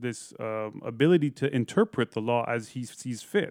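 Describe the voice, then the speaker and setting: A man with an American accent in a normal speaking voice, medium in pitch with ordinary pitch variation, fairly slow, on a very clean recording with a silent background. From Iran, early childhood in Eugene, Oregon. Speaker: musician and podcaster. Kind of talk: interview.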